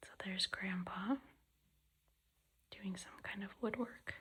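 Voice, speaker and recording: The voice whispers at a very slow pace. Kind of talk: soft-spoken ASMR book reading. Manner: soft-spoken, whispery, relaxing.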